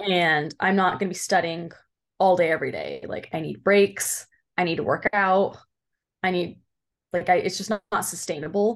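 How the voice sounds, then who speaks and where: Over a quiet background, a normal speaking voice talks at a moderate pace with fairly even intonation. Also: woman. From Southern California, Orange County. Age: 20s. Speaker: PA student. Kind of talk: interview.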